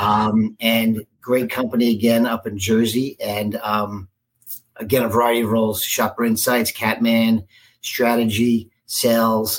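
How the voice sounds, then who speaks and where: Delivered at a fairly slow pace, the voice has an American accent and monotone, flat intonation. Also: man, medium pitch for a man. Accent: New York, moderated by Cincinnati. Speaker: marketing executive. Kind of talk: casual interview.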